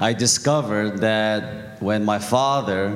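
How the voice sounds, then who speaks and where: With audible room echo and noticeable background noise, a man speaks at a fairly low pitch in fairly even intonation. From Korea. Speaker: church member giving testimony. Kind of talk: testimony.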